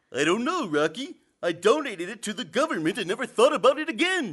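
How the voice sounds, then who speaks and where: A man's put-on character voice, high in pitch, with very wide pitch swings at a very fast pace. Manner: slow, dopey.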